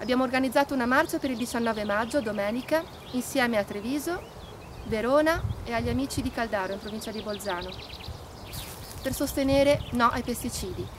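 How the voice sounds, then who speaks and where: Over noticeable background noise, a woman talks at a fairly quick pace and a high pitch with ordinary pitch variation, breaking with long, frequent pauses. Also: dry sound with no echo. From Trentino, northern Italy. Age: 30s. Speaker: environmental activist. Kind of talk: appeal to support a protest march. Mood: serious, earnest. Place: open country.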